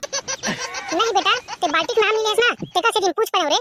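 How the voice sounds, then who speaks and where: A woman's squeaky put-on character voice at an extremely high pitch, with very even loudness and a fairly quick pace, in a dry, close sound with no echo. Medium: comedy sketch. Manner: nosy, meddling.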